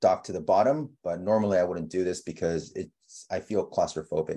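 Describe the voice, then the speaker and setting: A man talks at a moderate pace with lively intonation. His tone is dark and mellow. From Texas. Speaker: web designer and CSS instructor. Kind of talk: tutorial. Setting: video call.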